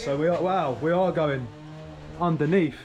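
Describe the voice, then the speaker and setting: A man speaks at a fairly quick pace with an English accent. His pitch is fairly high, and background noise is noticeable. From England. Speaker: travel vlogger. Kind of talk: vlog narration.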